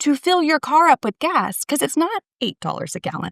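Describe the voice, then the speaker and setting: A woman with a slight Texas accent in a dry, close sound with no echo. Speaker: podcast guest. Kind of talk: casual chat.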